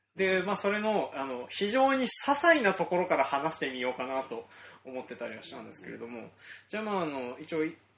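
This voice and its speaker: Fairly quick speech with very wide pitch swings and big swings in loudness over noticeable background noise. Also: man, fairly high pitch for a man. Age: 30s. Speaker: farmer and podcast host. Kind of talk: casual chat.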